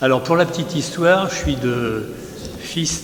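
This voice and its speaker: A man talks at a fairly slow pace with ordinary pitch variation, amid noticeable background noise and audible room echo. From Paris region, France (Seine-Saint-Denis and Seine-et-Marne). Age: 80s+. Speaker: amateur painter. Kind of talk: casual interview.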